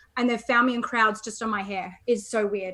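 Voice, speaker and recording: A woman at a very fast pace amid noticeable background noise. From Australia, Melbourne. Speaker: chat marketing agency founder, copywriter. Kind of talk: interview. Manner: animated.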